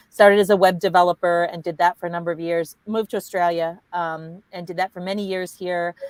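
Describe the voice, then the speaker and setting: A woman with an American accent uses a normal speaking voice at a fairly low pitch and a fairly quick pace. Her intonation stays fairly even, and the sound is dry and close with no echo. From United States. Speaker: tech manager. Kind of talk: panel discussion.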